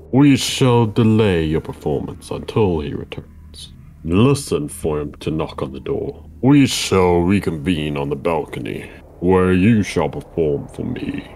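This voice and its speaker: A man puts on a character voice with a very deep, low pitch. He speaks at a fairly slow pace over clear background noise. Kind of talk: stiff, lofty speech. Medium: game stream. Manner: formal, imperious, cold.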